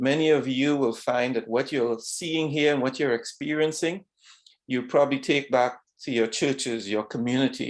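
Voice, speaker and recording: A man with a Trinidadian accent talks at a moderate pace with fairly even intonation against a quiet background. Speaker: retired vascular surgeon. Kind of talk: talk to students. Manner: halting.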